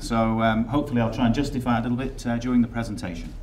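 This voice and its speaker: Talking at a very fast pace in an English accent, a man keeps his intonation fairly even amid noticeable background noise and audible room echo. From England. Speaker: software company executive. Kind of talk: conference presentation. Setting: stage with audience.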